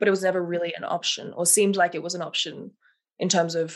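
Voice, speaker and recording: A woman with an Australian accent talks at a very fast pace, her fairly low pitch held in fairly even intonation. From Melbourne, Australia. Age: 20s. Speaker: set and costume designer. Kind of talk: casual interview.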